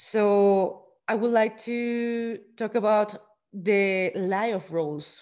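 In a Spanish accent, a woman speaks very slowly at a fairly high pitch. Her intonation stays fairly even. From Mexico. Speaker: podcast host. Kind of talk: interview. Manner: halting.

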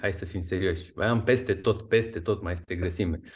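A man speaks in a somewhat breathy voice. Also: quiet background. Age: 40s. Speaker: fitness and nutrition coach. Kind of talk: interview.

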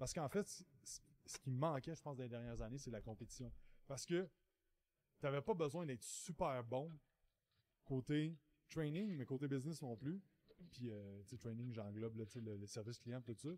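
A man with a medium-pitched, dark, mellow voice talks at a moderate pace with lively intonation, big swings in loudness, and long, frequent pauses. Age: 30s. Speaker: podcast host, entrepreneur coach. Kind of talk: solo monologue podcast. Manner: casual, filler-heavy.

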